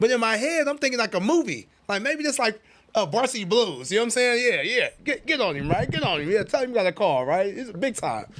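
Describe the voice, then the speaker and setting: Talking very fast, a man with a high pitch sounds animated, his voice making very wide pitch swings. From Oakland, California. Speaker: author. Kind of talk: personal storytelling in interview.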